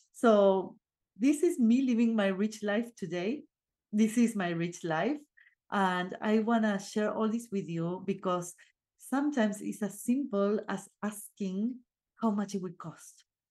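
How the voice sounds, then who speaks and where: In an Argentine accent, a woman speaks at a fairly slow pace with a medium pitch, a dark, mellow tone and ordinary pitch variation, against a quiet background. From Argentina. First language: Spanish. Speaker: podcast host and life coach. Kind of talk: solo motivational talk. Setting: video recording. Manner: casual, with filler sounds.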